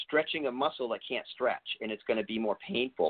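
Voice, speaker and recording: A man with an American accent talks fairly quickly in an ordinary speaking voice at a medium pitch. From US East Coast. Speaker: natural bodybuilder and health practitioner. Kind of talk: interview.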